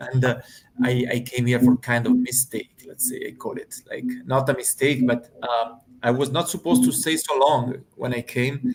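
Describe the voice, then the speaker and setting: A man with an Italian accent speaks at a moderate pace and medium pitch with fairly even intonation, against noticeable background noise. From Italy. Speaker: hospitality manager and aspiring online entrepreneur. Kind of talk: casual panel discussion.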